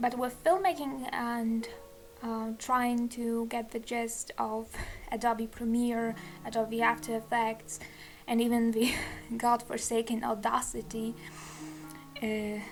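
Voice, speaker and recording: A woman's very slow speech with a non-native accent, fairly even intonation and long, frequent pauses. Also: fairly high pitch for a woman. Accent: self-described non-native accent, kinda wacky. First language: not English. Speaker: digital artist, YouTuber. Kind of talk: casual voiceover chat while drawing. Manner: hesitant, many fillers.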